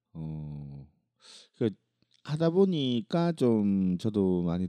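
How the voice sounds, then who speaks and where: A man speaks with a dark, mellow tone and very wide pitch swings. The sound is dry and close, with no echo. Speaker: podcast co-host. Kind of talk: casual chat. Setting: studio.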